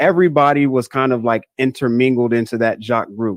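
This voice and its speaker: Speaking with an American accent, a man has a normal speaking voice, medium pitch and ordinary pitch variation at a moderate pace. The sound is dry and close with no echo. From Northern Virginia, US. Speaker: guest sharing conversion story. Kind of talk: interview conversation.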